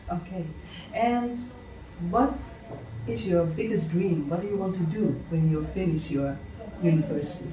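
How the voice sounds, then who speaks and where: With lively intonation and long, frequent pauses, a woman speaks at a fairly low pitch and moderate pace. Audible room echo and noticeable background noise surround her voice. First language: Dutch. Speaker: podcast host and success coach. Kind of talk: interview. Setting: on location at a children's home in Bali.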